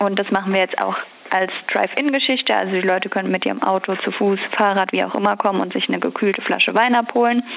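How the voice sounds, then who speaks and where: Noticeable background noise sits behind a woman's voice. She talks very fast at a very even loudness. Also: medium pitch for a woman. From Rheinhessen, Germany. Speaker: young winemaker and regional wine queen. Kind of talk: interview.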